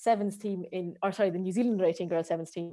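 Woman with an Irish accent, fairly low in pitch, with a dark, mellow tone. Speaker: strength and conditioning coach. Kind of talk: interview. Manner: hesitant, many fillers.

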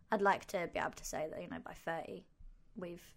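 A woman with vocal fry at a very fast pace. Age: 20s. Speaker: podcast co-host. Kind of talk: casual chat.

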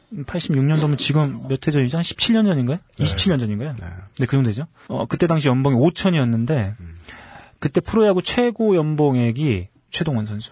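A somewhat breathy man's voice, fairly high in pitch with very wide pitch swings, at a moderate pace in a dry, close sound with no echo. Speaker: magazine interviewer. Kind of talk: casual chat.

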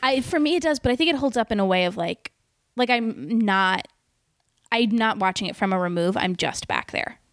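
In an ordinary speaking voice, a woman talks at a moderate pace with lively intonation and fairly high pitch. The sound is dry and close, with no echo. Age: 30s. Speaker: comedian. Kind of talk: casual chat. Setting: host's apartment.

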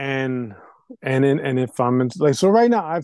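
This man speaks in an ordinary speaking voice at a medium pitch and a moderate pace. The sound is dry and close with no echo, over a quiet background. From Puerto Rican heritage, US. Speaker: hip hop producer and DJ. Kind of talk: interview. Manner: repetitive, restarts sentences.

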